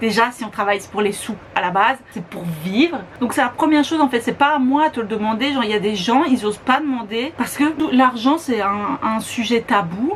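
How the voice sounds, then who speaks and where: A fairly high-pitched woman at a fairly quick pace, over noticeable background noise. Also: lively intonation. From Belgium. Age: 20s. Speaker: beauty YouTuber. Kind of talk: casual talk to camera.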